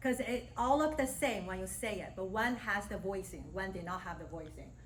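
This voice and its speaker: A woman speaking fairly quickly in a fairly high voice, with ordinary pitch variation and audible room echo. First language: Mandarin Chinese. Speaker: speech language pathologist and university lecturer. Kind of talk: guest lecture. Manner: casual, conversational.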